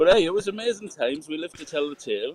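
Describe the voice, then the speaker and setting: Very fast pace in a dry, close sound with no echo. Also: man. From northern England, Newcastle upon Tyne. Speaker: sound engineer. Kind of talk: casual chat.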